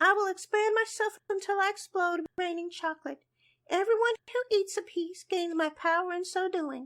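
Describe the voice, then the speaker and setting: A cartoonish character voice, squeaky and extremely high, moves at a moderate pace. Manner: formal, earnest.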